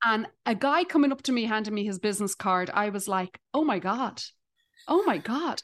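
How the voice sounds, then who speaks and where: With an Irish accent, a woman speaks at a fairly high pitch and a moderate pace, her intonation lively. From Dublin, Ireland. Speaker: stand-up comedian. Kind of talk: casual chat.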